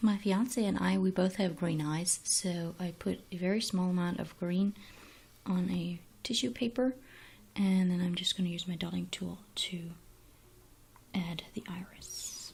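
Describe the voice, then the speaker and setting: A woman's somewhat breathy, medium-pitched voice with long, frequent pauses. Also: ordinary pitch variation, fairly slow pace. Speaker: DIY craft tutorial maker. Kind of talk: tutorial. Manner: soft-spoken.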